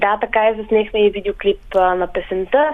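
Using a normal speaking voice, a woman talks at a moderate pace and fairly high pitch with ordinary pitch variation. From Kyustendil, western Bulgaria. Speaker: folk singer. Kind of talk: radio interview.

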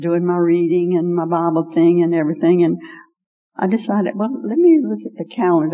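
Over music in the background, a woman talks in a fairly low pitch. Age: 80s. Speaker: pastor's wife, seasoned teacher. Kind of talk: testimony and talk to women. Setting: church.

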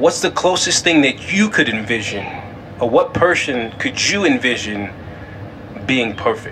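A man at a fairly slow pace, with very wide pitch swings, long, frequent pauses and noticeable background noise. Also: medium pitch for a man. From California. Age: 20s. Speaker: podcast host. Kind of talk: faith-based solo monologue.

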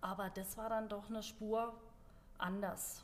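This woman keeps her intonation fairly even. Her voice carries audible room echo. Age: 40s. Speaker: CrossFit gym member and ultrarunner. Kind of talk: casual chat. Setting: studio, seated at a table.

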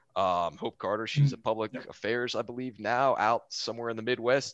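Very fast and animated in tone, a man talks with a Texan accent. His pitch is medium. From Houston, Texas. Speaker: Air Force officer, Aggie alumnus. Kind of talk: casual interview chat, storytelling. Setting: video call from Germany. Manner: jokey, animated.

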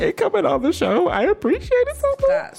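A squeaky, put-on character voice moves at a fairly quick pace over light background noise. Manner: exaggerated, mock gratitude.

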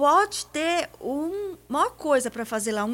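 A woman with a plain, everyday voice, lively intonation and a fairly slow pace. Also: very clean recording, silent background. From Paraná, Brazil. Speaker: businesswoman and accountant. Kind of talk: radio interview. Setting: radio studio.

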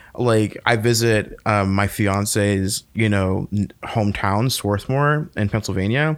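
Recorded very cleanly against a silent background, a man has a plain, everyday voice at a fairly low pitch with ordinary pitch variation. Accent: American. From North Carolina (Fayetteville). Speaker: podcast host. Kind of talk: casual chat.

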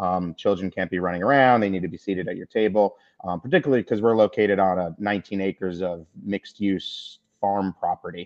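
A man with a plain, everyday voice, fairly low in pitch, with fairly even intonation and a fairly quick pace. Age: 40s. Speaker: brewery owner. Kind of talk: panel discussion.

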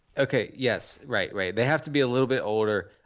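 The voice belongs to a man. Ordinary pitch variation marks his speech. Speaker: fantasy football podcast co-host. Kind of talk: casual banter podcast. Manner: rambling, halting.

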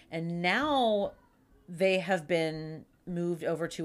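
A woman speaks in a Pittsburgh accent. Her pitch is fairly low. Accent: Pittsburgh accent (Western Pennsylvania). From Pittsburgh, Pennsylvania. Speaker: podcast co-host. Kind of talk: casual chat. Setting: at a co-host's home.

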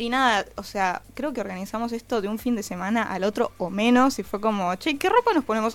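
A woman with an unremarkable speaking voice and fairly high pitch talks at a fairly quick pace with hardly any pauses and ordinary pitch variation. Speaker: rock musician. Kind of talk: interview.

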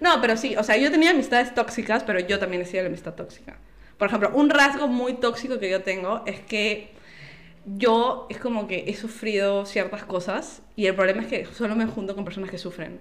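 A woman's fairly high pitch and fairly quick pace, with ordinary pitch variation, noticeable background noise and audible room echo. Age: 20s. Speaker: podcast guest. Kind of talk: casual chat.

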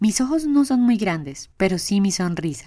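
Lively intonation runs through a natural reading voice.

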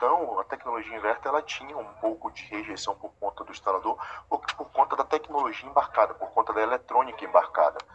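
A man's dry, close voice with no echo, hardly any pauses and big swings in loudness, over noticeable background noise. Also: fairly quick pace. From Bahia, Brazil. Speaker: air-conditioning company manager. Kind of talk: interview. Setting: office, remote interview.

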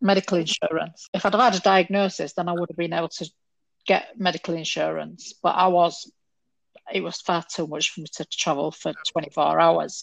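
Recorded dry and close with no echo, a woman in a Yorkshire accent talks at a fairly quick pace. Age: 50s. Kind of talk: casual chat.

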